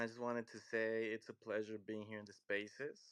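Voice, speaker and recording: A man with a Mexican accent, medium pitch and monotone, flat intonation, at a moderate pace against a quiet background. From Mexico, Michoacán. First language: Spanish. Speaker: crypto community member. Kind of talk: casual chat. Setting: live audio space. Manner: halting.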